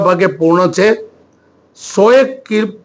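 A man's high-pitched voice. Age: 60s. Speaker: politician, state legislator. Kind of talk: press statement to reporters. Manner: halting, many pauses.

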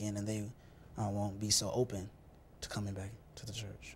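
A man speaks at a fairly low pitch over light background noise. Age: young. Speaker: church youth leader. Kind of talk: interview. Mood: earnest, calm. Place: studio. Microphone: lapel.

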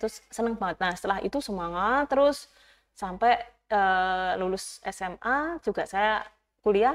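This woman's voice sits fairly high, with ordinary pitch variation. She talks at a fairly slow pace. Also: quiet background. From Java, Gunung Kidul (Yogyakarta); Java. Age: 30s. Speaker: youth organization leader, former teacher; interview guest. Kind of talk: interview; interview answer. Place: studio. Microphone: lapel.

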